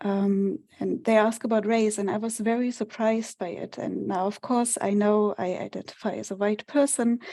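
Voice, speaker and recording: In a German accent, a woman with a fairly high pitch and a dark, mellow tone speaks at a moderate pace. Her intonation is fairly even, and she hardly pauses. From Germany. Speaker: research data manager. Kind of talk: webinar presentation.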